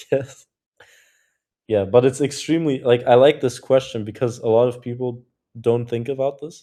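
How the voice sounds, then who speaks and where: A man speaks with a German accent in a dark, mellow tone. His intonation is fairly even, broken by long, frequent pauses. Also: medium pitch for a man, moderate pace. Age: 20s. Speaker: cold email community co-host. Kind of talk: live community video call, casual.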